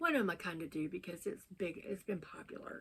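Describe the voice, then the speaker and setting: A woman talks at a fairly quick pace. She speaks in a Southern US accent. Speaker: book vlogger. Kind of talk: casual chat.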